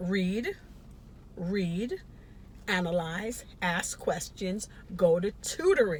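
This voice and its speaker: Speaking at a very slow pace with long, frequent pauses, a woman of medium pitch sounds somewhat breathy, with ordinary pitch variation. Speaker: nursing educator. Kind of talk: educational talk to camera.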